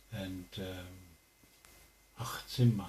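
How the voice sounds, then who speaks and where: In a room with audible echo, a man speaks in a dark, mellow tone that is somewhat breathy, with fairly even intonation. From Canada, Alberta (Piikani reserve). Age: 50s. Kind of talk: interview. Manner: hesitant, many fillers.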